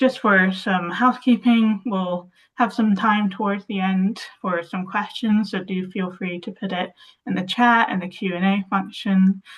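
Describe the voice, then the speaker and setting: A woman's somewhat breathy voice moves at a fairly slow pace, her intonation fairly even. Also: medium pitch for a woman. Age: 20s. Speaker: access consultant, webinar host. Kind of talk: webinar hosting. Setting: video call.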